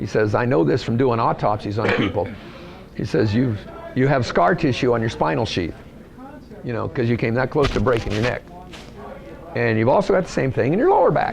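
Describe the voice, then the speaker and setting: Amid noticeable background noise and audible room echo, a man of medium pitch talks at a fairly quick pace with lively intonation and long, frequent pauses. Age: 60s. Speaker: racer. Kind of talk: interview.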